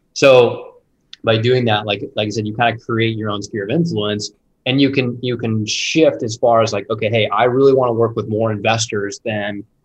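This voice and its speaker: A man speaks at a fairly quick pace in a somewhat breathy voice with fairly even intonation. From Indianapolis, US Midwest. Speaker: real estate investor. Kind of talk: casual interview.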